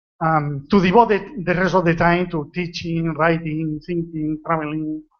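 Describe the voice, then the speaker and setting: A Spanish accent at a moderate pace. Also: man. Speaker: retired general practitioner. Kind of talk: conference talk. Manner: relaxed.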